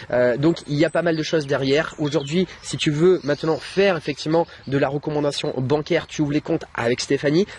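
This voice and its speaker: Noticeable background noise sits under a very fast delivery with fairly even intonation and a dry, close sound with no echo. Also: man. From France, Bordeaux. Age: 30s. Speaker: online trainer and YouTuber. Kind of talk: interview and sales pitch.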